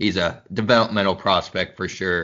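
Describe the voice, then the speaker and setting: This man has an American accent and fairly even intonation. He speaks at a moderate pace. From US Midwest (Missouri and Kansas). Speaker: sports podcast host. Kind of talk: casual chat.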